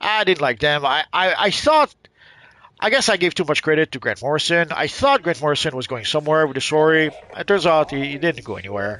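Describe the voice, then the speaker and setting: Bright and sharp in tone, a man's fairly high voice rises and falls with lively intonation. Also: fairly quick pace, dry, close sound with no echo. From Quebec, Canada. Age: 50s. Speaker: gaming streamer. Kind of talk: casual live-stream chat while gaming. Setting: live stream. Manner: halting, many repetitions and fillers.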